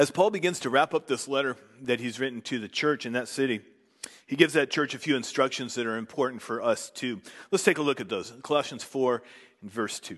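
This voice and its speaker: A man with a normal speaking voice at medium pitch, fairly quick pace and ordinary pitch variation, against a quiet background. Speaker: preacher. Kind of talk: sermon; fervent prayer. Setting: church. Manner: formal; earnest.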